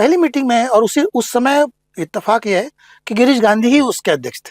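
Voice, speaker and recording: Lively in intonation and extremely high in pitch, a man talks at a moderate pace in a dry, close recording with no echo. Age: 60s. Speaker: writer, actor and theatre professor. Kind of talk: podcast interview.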